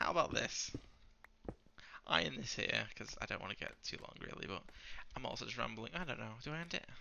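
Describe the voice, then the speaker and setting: Whispering from a man at a fairly quick pace, broken by long, frequent pauses. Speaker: gaming YouTuber. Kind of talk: gameplay commentary. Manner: fast; quiet.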